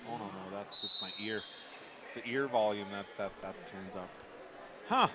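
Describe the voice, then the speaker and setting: Quiet and at a moderate pace, a man with a Canadian accent speaks with big swings in loudness, with audible room echo and noticeable background noise. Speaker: basketball commentator. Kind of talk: live commentary. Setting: broadcast booth in gym. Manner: too quiet.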